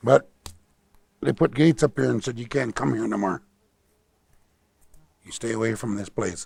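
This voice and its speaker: An American man talks at a medium pitch with lively intonation and vocal fry. The sound is dry and close with no echo, broken by long, frequent pauses. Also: moderate pace. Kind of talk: storytelling talk about nature and his ancestors. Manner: warm, ready laughter.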